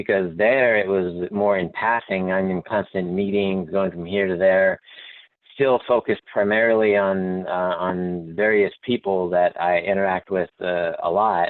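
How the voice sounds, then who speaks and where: In an American accent, a man with a very deep, low pitch speaks fairly slowly with fairly even intonation. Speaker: company manager. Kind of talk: panel discussion.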